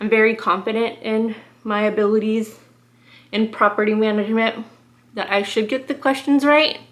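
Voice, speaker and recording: A woman's fairly high voice with fairly even intonation and long, frequent pauses. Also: moderate pace. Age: 30s. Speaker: beauty vlogger. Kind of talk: product review. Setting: sitting on floor by window at mom's house.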